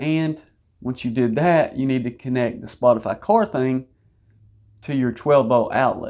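With a quiet background behind him, a man talks using ordinary pitch variation. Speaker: auto channel host. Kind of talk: product explainer.

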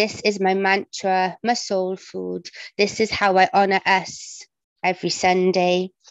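A woman speaks fairly slowly in a monotone, flat intonation, with a dry sound with no echo and a quiet background. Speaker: parent and amateur writer; poet at an online open mic. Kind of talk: poetry reading. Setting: video call, at home. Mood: earnest, reflective. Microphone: video call.

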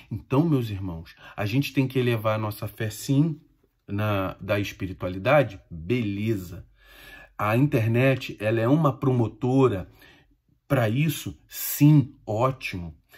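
A man speaks at a very slow pace in a somewhat breathy voice against a quiet background. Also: ordinary pitch variation. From Brazil. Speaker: Umbanda medium and spiritual teacher; spiritual teacher. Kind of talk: informal spiritual talk to followers. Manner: conversational, addresses listeners directly. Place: home room. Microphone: phone near.

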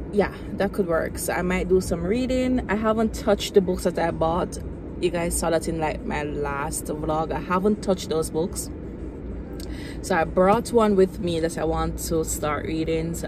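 Over music in the background, a woman talks at a fairly slow pace, her sound dry with no echo. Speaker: vlogger. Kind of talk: casual vlog chat. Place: car. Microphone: phone near.

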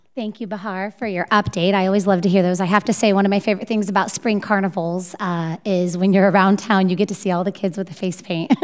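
Over a quiet background, a woman races along at a very fast pace with hardly any pauses, her intonation monotone and flat. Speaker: school board trustee. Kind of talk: board meeting. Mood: warm, appreciative. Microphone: podium.

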